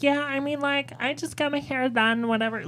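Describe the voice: In a put-on character voice, a female-sounding speaker talks at a fairly quick pace and high pitch.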